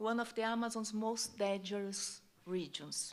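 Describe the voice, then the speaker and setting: A woman speaks with a strong Brazilian accent. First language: Portuguese. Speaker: journalist. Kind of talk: plenary speech.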